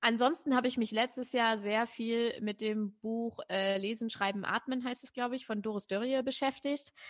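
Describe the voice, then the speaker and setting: In a plain, everyday voice, a woman speaks at a moderate pace with hardly any pauses, fairly high pitch and fairly even intonation. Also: quiet background. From northern Germany, Braunschweig. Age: 30s. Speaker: poetry slammer, presenter and author. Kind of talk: interview.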